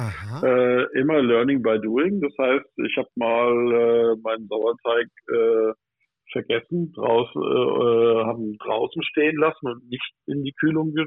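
A man with a medium pitch speaks at a very slow pace. His pitch varies in an ordinary way. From Odenwald, southern Hesse, Germany. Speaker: pastry chef. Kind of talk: casual chat. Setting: phone call. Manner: animated.

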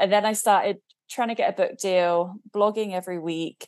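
A woman's medium-pitched voice in an English accent, fairly even in intonation, against a quiet background. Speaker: spiritual business coach and author. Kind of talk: interview.

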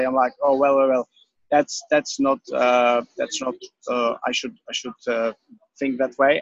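A man talks at a medium pitch with a Czech accent. The sound is dry and close, with no echo. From Czech Republic. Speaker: personal trainer. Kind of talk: interview.

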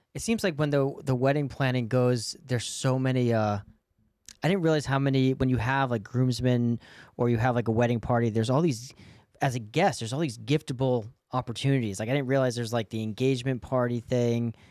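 An ordinary speaking voice from a man with an American accent, medium pitch, fairly even intonation and a fairly quick pace. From outside Boston. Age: 30s. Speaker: podcast host. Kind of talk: casual chat. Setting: studio.

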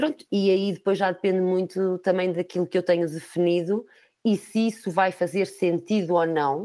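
A woman's dark, mellow voice in a European Portuguese accent, medium in pitch with fairly even intonation and very even loudness, at a moderate pace on a very clean recording with a silent background. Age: 40s. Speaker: recruitment company manager. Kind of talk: interview.

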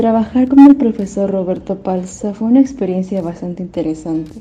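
With ordinary pitch variation, a woman talks in a normal speaking voice. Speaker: university theatre student. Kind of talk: testimony.

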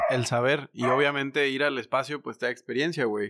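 On a very clean recording with a silent background, a man with a Mexican accent talks in a bright, sharp tone at medium pitch with monotone, flat intonation. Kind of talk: casual chat.

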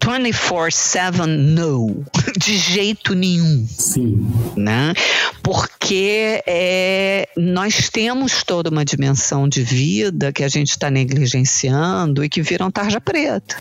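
A woman with a fairly low pitch talks at a very slow pace, her pitch swinging very widely while her loudness stays very even. Noticeable background noise sits behind her. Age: 60s. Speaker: medical translator and physician. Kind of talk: interview conversation.

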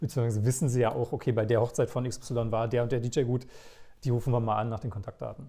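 On a very clean recording with a silent background, a man talks very fast at a medium pitch, somewhat breathy, his tone dark and mellow and his intonation monotone and flat. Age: 30s. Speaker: wedding DJ. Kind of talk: casual interview. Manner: talkative.

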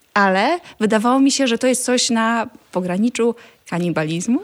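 A woman speaks in a normal speaking voice at a fairly slow pace. Her pitch is fairly high, with ordinary variation. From rural Poland. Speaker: vegan food blogger and cookbook author. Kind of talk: casual interview chat.

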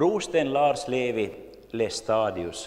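Speaking with an Ostrobothnian accent, a man uses lively intonation at a medium pitch. Room echo is audible. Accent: Finland-Swedish, Ostrobothnian. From Finland, Jakobstad (Swedish-speaking Ostrobothnia). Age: 50s. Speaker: lay preacher and church history speaker. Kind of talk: lecture.

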